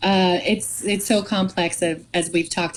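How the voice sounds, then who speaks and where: A woman with an American accent and a fairly low pitch speaks at a moderate pace with fairly even intonation. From Massachusetts, US (Andover). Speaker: image consultant and model. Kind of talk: podcast interview. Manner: halting.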